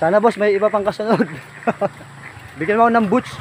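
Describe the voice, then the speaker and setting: A man's voice over noticeable background noise. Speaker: fishing vlogger. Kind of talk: casual vlog narration. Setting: outdoors by a river.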